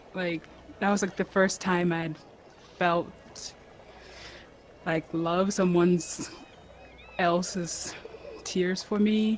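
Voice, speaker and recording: Over noticeable background noise, a woman talks very slowly in a monotone, flat delivery broken by long, frequent pauses. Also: medium pitch for a woman. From Ghana. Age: 20s. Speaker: adopted daughter of host. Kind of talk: casual interview chat.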